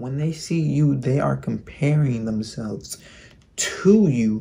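A man talks at a medium pitch with a dark, mellow tone and very wide pitch swings. His voice is somewhat breathy. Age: 20s. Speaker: YouTuber giving self-improvement advice. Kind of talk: vlog monologue. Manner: casual, slangy. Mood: reflective, earnest. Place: home room. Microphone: phone near.

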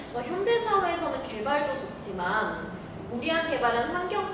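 A woman talks at a moderate pace with very wide pitch swings, her voice carrying strong room echo over noticeable background noise. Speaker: program host / moderator. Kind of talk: hosted discussion program. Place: meeting room.

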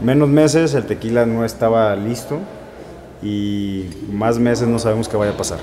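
Man's voice at a moderate pace, ordinary pitch variation, light background noise. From Arandas, Jalisco, Mexico; Jalisco, Mexico. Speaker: tequila distillery owner. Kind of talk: casual interview and tasting tour. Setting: distillery on location. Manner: halting.

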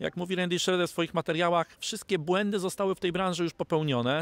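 A man talks at a very fast pace in a high pitch. The sound is dry, with no echo. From Poland. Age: 40s. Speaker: network marketing distributor. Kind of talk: interview. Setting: studio. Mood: upbeat, optimistic. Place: garden. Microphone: handheld.

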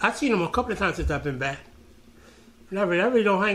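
Very fast delivery with lively intonation in an American accent. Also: man. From Brooklyn, New York City; New York City. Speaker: former graffiti writer; interviewee. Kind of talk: oral history interview. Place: office.

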